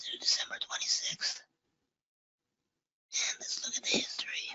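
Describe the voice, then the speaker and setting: Whispering, a man speaks at a moderate pace. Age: old. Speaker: guest presenting market analysis.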